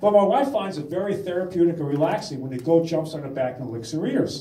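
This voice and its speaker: Amid audible room echo, a man speaks at a very fast pace in a high pitch with lively intonation. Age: 60s. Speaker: stand-up comedian. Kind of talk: stand-up.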